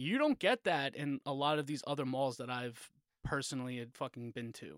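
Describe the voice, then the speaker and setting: A man talks at a fairly quick pace with fairly even intonation in a plain, everyday voice. The recording is very clean, dry and close, with a silent background and no echo. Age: 30s. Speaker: podcast co-host. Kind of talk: casual chat.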